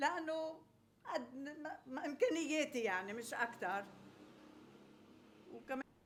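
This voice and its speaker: Here a woman speaks with a Lebanese accent. Her pace is fairly slow and her intonation lively. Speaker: home cook, former restaurant owner. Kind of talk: casual interview. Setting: home kitchen.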